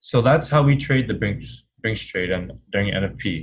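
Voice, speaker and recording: Speaking at a fairly slow pace, a man sounds somewhat breathy, with ordinary pitch variation. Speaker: forex trading teacher. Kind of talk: webinar. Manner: animated.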